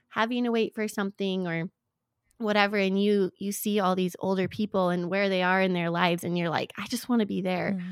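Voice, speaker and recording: At a moderate pace and medium pitch, a woman with a plain, everyday voice speaks with fairly even intonation in a very clean recording that is dry and close with no echo and a silent background. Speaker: podcast co-host. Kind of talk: casual faith conversation.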